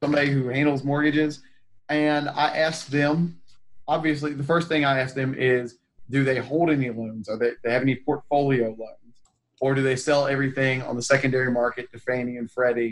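A man talks at a fairly quick pace with an American accent, his pitch medium and his intonation fairly even. It is an ordinary speaking voice. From North Carolina, Raleigh area. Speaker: real estate investor. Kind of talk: casual interview chat.

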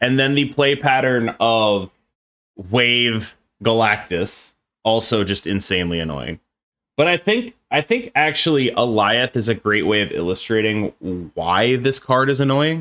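A man speaks in a normal speaking voice at medium pitch, with lively intonation and a fairly slow pace. The recording is very clean, and the background is silent. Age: 30s. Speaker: card game streamer and podcast co-host. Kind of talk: casual chat.

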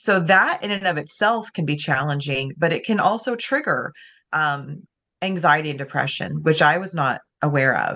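A woman speaks with a very deep, low pitch. Her tone is bright and sharp. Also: lively intonation, moderate pace, quiet background. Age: 40s. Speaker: author and speaker. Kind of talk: interview.

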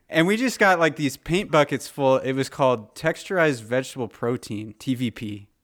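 With hardly any pauses and lively intonation, a man with an American accent speaks at a medium pitch on a very clean recording with a silent background. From Southern California. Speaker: podcast host. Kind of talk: casual chat.

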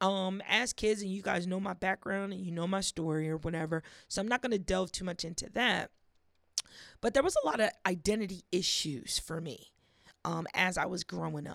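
A woman with a plain, everyday voice, medium pitch, ordinary pitch variation and a moderate pace, in a dry, close sound with no echo. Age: 30s. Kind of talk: casual faith talk monologue. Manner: casual, conversational.

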